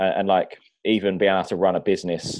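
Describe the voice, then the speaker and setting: A man speaks with a British accent. His voice is very deep and low. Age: 20s. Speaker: personal trainer. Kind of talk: casual chat.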